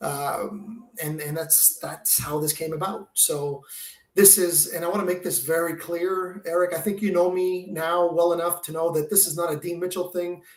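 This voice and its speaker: A man with a Quebec accent talks at a moderate pace. His voice sits high in pitch, with fairly even intonation. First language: French. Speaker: window film territory manager and charity founder. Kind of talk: podcast interview. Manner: halting, many repetitions and fillers.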